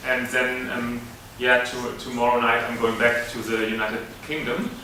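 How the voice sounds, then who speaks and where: Over noticeable background noise, a man talks with audible room echo. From Germany. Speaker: university lecturer. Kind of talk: lecture. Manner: halting, many fillers.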